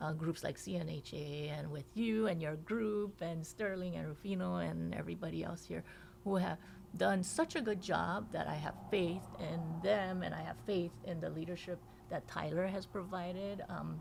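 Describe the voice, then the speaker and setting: Woman with a Korean accent at a moderate pace. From South Korea, moved to Hawaii at nine. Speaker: state legislator. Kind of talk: podcast interview.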